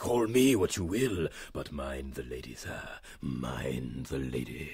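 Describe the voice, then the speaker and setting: A man speaks at a very deep, low pitch. His pace is fairly slow. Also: ordinary pitch variation. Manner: florid, obsequious, repeats phrases.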